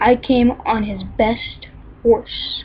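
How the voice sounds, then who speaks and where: A woman's put-on character voice, pitched high. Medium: read story.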